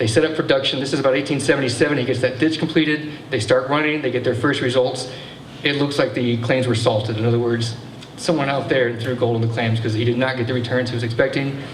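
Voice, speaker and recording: A man's medium-pitched voice in an American accent at a very fast pace, with fairly even intonation, audible room echo and noticeable background noise. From Texas. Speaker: local historian, speaker. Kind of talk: public history talk.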